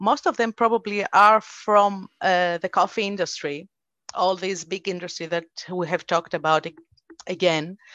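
The intonation stays fairly even in a normal speaking voice. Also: woman, medium pitch for a woman. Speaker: podcast host. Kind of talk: interview. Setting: video call.

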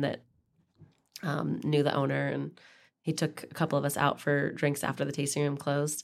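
With an Idaho accent, a woman speaks in a very deep, low pitch. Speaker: podcast co-host, wine professional. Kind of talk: casual chat.

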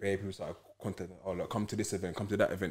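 Speaking with a London accent, a man with a fairly low pitch keeps a monotone, flat intonation in a very clean recording with a silent background. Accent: London Multicultural English. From south London, Peckham. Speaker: football club founder. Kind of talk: casual interview chat.

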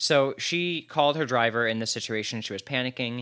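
A man with an American accent speaks at a medium pitch and moderate pace in a bright, sharp tone. His pitch varies in an ordinary way, and the recording is very clean with a silent background. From New Jersey. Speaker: podcast co-host. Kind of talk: casual chat.

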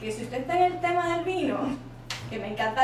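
A woman talks fairly quickly with ordinary pitch variation, with noticeable background noise and audible room echo around her. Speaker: podcast host and accountant. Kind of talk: casual interview chat.

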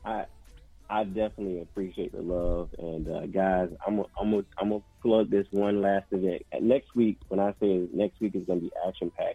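Speaking at a moderate pace with fairly even intonation, a man has an ordinary speaking voice and a fairly low pitch. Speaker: guest. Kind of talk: casual radio interview.

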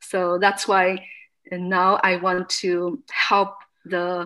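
A woman with a Chinese accent speaks at a medium pitch in a bright, sharp tone on a very clean recording with a silent background. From China. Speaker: fitness studio owner. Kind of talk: interview testimony. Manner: halting.

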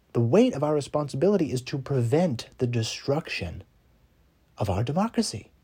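A man with an American accent talks at a moderate pace in a dark, mellow, somewhat breathy tone, his fairly high pitch swinging very widely. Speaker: podcast host. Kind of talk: political monologue arguing a case, rally-style speech. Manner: impassioned, urgent; emphatic, repetitive for effect.

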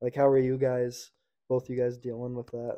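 This man speaks with a Canadian accent at a medium pitch. His delivery is monotone and flat at a moderate pace. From Nanaimo, Vancouver Island, British Columbia. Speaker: podcast co-host, junior hockey player. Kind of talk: casual chat.

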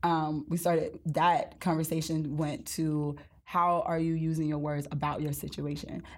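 A woman's very deep, low voice in an American accent, at a fairly slow pace. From US South, Mississippi Gulf Coast. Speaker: author and speaker. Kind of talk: casual interview.

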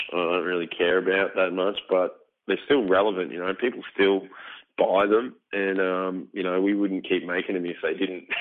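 In an Australian accent, a man speaks at a moderate pace with a very deep, low pitch and fairly even intonation. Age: 30s. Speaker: metal band vocalist. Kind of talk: casual interview.

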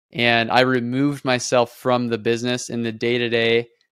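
Flat, monotone delivery in an American accent, on a very clean recording with a silent background. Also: man, dry, close sound with no echo. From Nebraska, US Midwest. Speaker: real estate investor. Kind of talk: casual interview.

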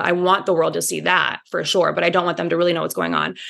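A woman with a Midwestern US accent. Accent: US Midwest. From Indiana. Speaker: podcast guest, reality TV fan. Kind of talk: casual chat.

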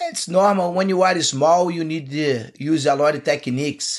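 Speaking with a Portuguese accent, a man uses a high pitch and ordinary pitch variation. He goes at a fairly slow pace. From Brazil. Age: 50s. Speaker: jiu-jitsu coach. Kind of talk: casual chat. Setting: studio.

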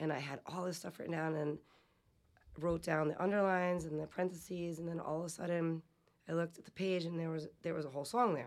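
This woman talks very fast in a fairly low voice, with fairly even intonation. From Providence, Rhode Island. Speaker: band singer and guitarist. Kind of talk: casual chat.

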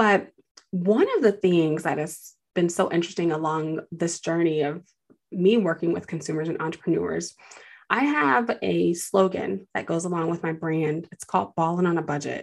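At a moderate pace, a woman with an unremarkable speaking voice talks in a fairly low pitch with ordinary pitch variation. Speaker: podcast host and finance advisor. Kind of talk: casual interview chat.

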